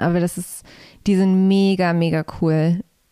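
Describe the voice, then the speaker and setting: A woman speaks in a fairly low pitch with fairly even intonation and a dark, mellow tone, heard in a dry, close sound with no echo on a very clean recording with a silent background. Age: 20s. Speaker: musician. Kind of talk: casual chat.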